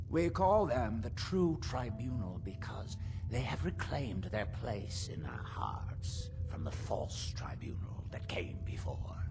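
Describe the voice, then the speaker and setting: A man puts on a character voice, pitched fairly low. He talks at a fairly slow pace over loud background noise. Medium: video game. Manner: formal, self-important.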